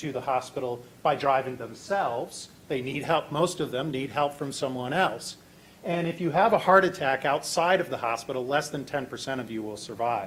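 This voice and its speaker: At a moderate pace, a man with an American accent speaks in a plain, everyday voice with ordinary pitch variation. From Virginia, US. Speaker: hackathon presenter, software developer. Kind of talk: live tech demo presentation.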